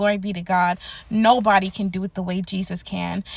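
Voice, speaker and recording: Speaking at a fairly quick pace, a woman with a medium pitch sounds somewhat breathy. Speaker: prophetic word YouTuber. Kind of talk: prophetic encouragement monologue.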